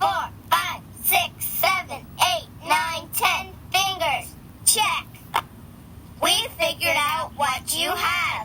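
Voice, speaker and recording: An extremely high-pitched, cartoonish character voice speaks at a very slow pace, with long, frequent pauses. Background noise is clearly audible. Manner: playful, giggly.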